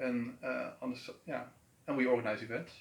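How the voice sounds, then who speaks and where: A man with a Dutch accent, medium pitch and a fairly quick pace. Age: 30s. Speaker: event organizer. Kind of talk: interview. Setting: on camera in an office building. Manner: halting.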